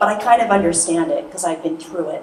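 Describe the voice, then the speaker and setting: Soft-spoken and at a very fast pace, the voice carries audible room echo and noticeable background noise. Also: woman. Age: 50s. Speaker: hypnotherapist and speaker. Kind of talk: motivational talk. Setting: stage with audience.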